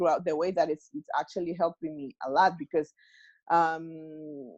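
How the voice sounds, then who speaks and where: The speaker has a Mexican accent. The sound is dry and close, with no echo. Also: woman, quiet background. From Mexico. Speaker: self-healing workshop organizer. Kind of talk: interview answer.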